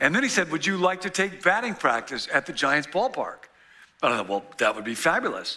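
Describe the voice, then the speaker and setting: The man speaks at a fairly quick pace. Nothing much stirs in the quiet background. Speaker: pastor. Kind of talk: sermon. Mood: humorous, animated. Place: church. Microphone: headset.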